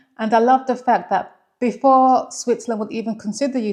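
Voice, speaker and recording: A woman is speaking. She has a London accent. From England, London. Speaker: vlogger. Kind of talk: casual vlog talk.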